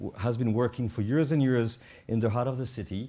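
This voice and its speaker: A man speaks with a French accent. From Switzerland, French-speaking. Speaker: addiction therapist and conference organiser. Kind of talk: panel talk moderation. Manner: hesitant, many fillers.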